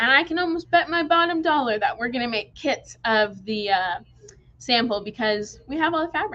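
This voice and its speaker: Raised and projected, a woman's high-pitched voice moves at a moderate pace through very wide pitch swings. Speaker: quilt shop staff, livestream host. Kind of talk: live product showcase stream. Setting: livestream from shop. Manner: animated. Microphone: phone mic with echo.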